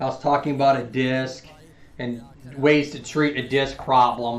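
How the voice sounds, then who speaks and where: In a room with audible echo, a fairly high-pitched man talks at a moderate pace with fairly even intonation. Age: 40s. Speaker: physical therapist live streamer. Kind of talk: live stream chat and health explanation. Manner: loud; casual, halting with fillers.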